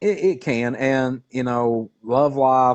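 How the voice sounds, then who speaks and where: A man talks with a Southern US accent. The background is quiet. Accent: southern drawl. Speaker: cryptid researcher. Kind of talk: casual interview chat. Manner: halting, many fillers.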